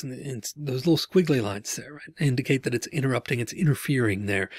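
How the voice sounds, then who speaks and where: A man's somewhat breathy voice at a fairly quick pace, with ordinary pitch variation and a dry sound with no echo. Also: quiet background. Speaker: instructor. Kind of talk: lecture. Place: home room. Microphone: webcam.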